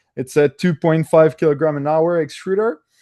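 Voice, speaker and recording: With a French-Canadian accent, a man speaks at a fairly high pitch with fairly even intonation. The sound is dry and close, with no echo. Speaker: engineer at a 3D printing hardware company. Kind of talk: technical presentation. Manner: hesitant, many filler sounds.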